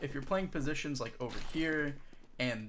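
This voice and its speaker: Here is a man with an unremarkable speaking voice, pitched fairly high. He talks at a fairly quick pace with ordinary pitch variation. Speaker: competitive game coach. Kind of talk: tutorial.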